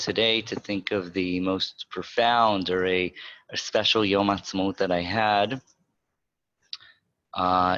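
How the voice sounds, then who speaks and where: With a New York accent, a man speaks at a fairly slow pace and fairly low pitch, his bright, sharp tone delivered in a monotone, flat intonation broken by long, frequent pauses. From Israel, raised in Rehovot by American parents. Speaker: educator. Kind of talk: panel introduction.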